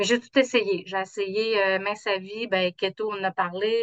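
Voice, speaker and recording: A woman of medium pitch speaks at a fairly slow pace in a monotone with flat intonation. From Quebec, south shore of Quebec City. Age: 50s. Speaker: insurance trainer, coaching client. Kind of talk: casual interview.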